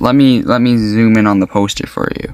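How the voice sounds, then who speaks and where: The voice is a man's. The sound is dry and close, with no echo at all. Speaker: YouTube movie reviewer. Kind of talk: casual movie review monologue. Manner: fast.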